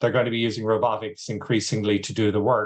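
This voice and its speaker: A man's medium-pitched voice with an Irish accent. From Ireland. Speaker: agtech executive. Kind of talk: interview.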